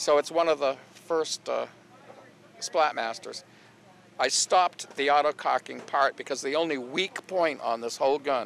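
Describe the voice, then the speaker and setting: A man's fairly high voice at a moderate pace with long, frequent pauses and ordinary pitch variation, in a dry, close sound with no echo and noticeable background noise. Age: 70s. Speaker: paintball inventor. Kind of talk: interview. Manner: halting, many fillers.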